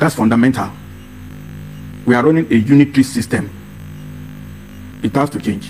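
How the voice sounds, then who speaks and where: Over music in the background, a man talks at a medium pitch and a fairly quick pace, with ordinary pitch variation and long, frequent pauses. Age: 70s. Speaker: political commentator. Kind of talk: interview.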